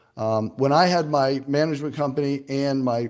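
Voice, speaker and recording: The speaker is a man with a fairly high pitch. The background is quiet. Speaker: property management expert speaking to a real estate group. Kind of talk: presentation to professional group. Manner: fast.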